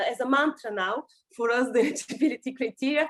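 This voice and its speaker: A woman projects her voice in a raised, high register. Her tone is bright and sharp, with ordinary pitch variation. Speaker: EU policy official. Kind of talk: webinar Q&A answer. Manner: fast; halting, many fillers.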